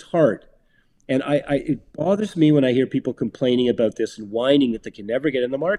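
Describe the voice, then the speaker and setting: A man speaks very fast at a medium pitch with ordinary pitch variation, his dark, mellow tone captured in a dry, close recording with no echo, and his loudness swings widely. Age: 60s. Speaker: real estate developer. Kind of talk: casual chat.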